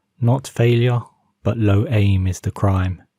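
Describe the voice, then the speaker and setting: A man speaks at a very slow pace in a calm, dark, mellow tone that is somewhat breathy, with a fairly low pitch and ordinary pitch variation. The recording is very clean, with a silent background. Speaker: narrator. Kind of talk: calm motivational quote reading. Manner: calm, slow.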